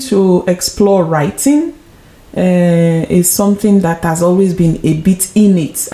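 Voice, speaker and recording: Noticeable background noise beneath a woman's fairly low voice. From Nigeria. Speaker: author and actress. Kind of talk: interview. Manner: hesitant, many fillers.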